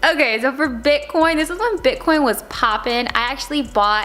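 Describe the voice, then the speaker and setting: A woman speaks in an animated tone with ordinary pitch variation amid noticeable background noise. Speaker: lifestyle vlogger. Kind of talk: casual vlog talk.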